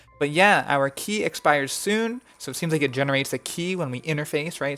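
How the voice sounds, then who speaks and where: Music plays behind a fairly quick-paced delivery. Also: hardly any pauses. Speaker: gaming video creator. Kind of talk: casual commentary while playing a game.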